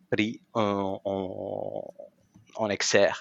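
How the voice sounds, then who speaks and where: A man speaks with a Spanish accent. The background is quiet. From Argentina. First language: Spanish (speaking French). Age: 40s. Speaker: professional association president. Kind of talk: interview.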